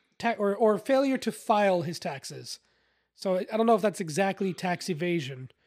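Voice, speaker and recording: In a very clean recording with a silent background, the words arrive at a moderate speed. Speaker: podcast host. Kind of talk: casual chat. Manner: loud talker.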